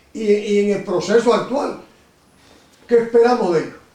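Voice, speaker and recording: Over noticeable background noise and audible room echo, a man speaks fairly quickly at a high pitch. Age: 70s. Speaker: interviewer. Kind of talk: interview.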